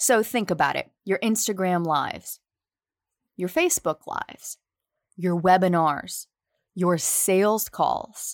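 With a Southern US accent, a woman of medium pitch speaks at a fairly slow pace with ordinary pitch variation, the sound dry and close with no echo. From US South, near New Orleans. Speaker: podcast host. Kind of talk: podcast interview, intro.

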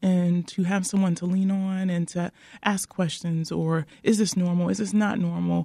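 Somewhat breathy and dark, mellow in tone, a woman with an American accent speaks at a moderate pace, medium pitch and ordinary pitch variation on a very clean recording with a silent background. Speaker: nurse-midwife. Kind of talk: radio interview.

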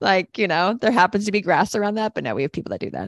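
A woman's medium-pitched voice with vocal fry, dry and close with no echo. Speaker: coach and podcast host. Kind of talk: casual conversation.

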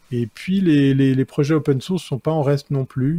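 A man's somewhat breathy, dark, mellow voice at a moderate pace with fairly even intonation, dry and close with no echo. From Switzerland. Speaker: tech columnist, advertising awards presenter. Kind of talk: casual chat.

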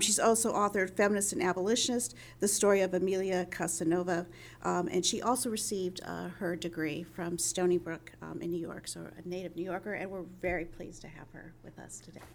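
Vocal fry runs through a woman's medium-pitched voice with ordinary pitch variation. She moves at a fairly quick pace. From New Mexico. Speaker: history professor and panel moderator. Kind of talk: panel moderation.

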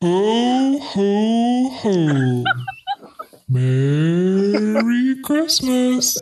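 This is a put-on character voice with a fairly high pitch. Its pitch swings very widely. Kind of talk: jolly laugh made sinister. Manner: creepy.

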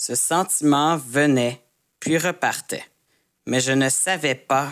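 This man has a fairly high voice and speaks at a fairly slow pace. His pitch varies in an ordinary way. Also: very clean recording, silent background. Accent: Quebec. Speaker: army veteran, storyteller. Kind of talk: personal storytelling. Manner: intermediate-level French, clear.

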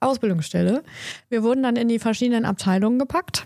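Pitched fairly high, a woman talks in a normal speaking voice with ordinary pitch variation. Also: dry, close sound with no echo. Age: 40s. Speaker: agency founder and podcast co-host. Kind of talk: casual chat.

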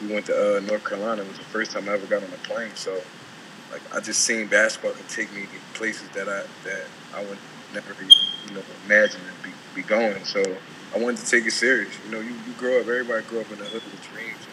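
A man speaks very fast, his loudness swinging widely. Noticeable background noise is present. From South Philadelphia. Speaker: pro basketball player. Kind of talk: casual interview.

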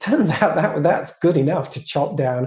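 A man with a British accent speaks in a fairly high pitch, his lively intonation carried by a dark, mellow tone that is somewhat breathy. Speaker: AI strategy consultant. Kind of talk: casual interview.

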